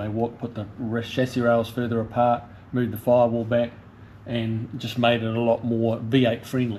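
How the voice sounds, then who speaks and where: A man's flat, monotone voice at a moderate pace, with light background noise. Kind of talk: walkaround commentary. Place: garage. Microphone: phone near.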